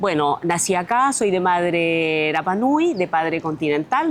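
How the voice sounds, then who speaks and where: Noticeable background noise accompanies the recording. A woman talks at a moderate pace. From France (raised from age 6 to 21), born on Easter Island, Chile. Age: 50s. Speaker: mayoral candidate. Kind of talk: interview.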